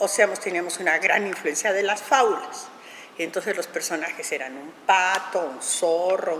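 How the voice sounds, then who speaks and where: Over noticeable background noise, a woman speaks at a fairly slow pace in a medium pitch, with ordinary pitch variation and big swings in loudness. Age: 70s. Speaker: puppet theatre director. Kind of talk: interview. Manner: halting.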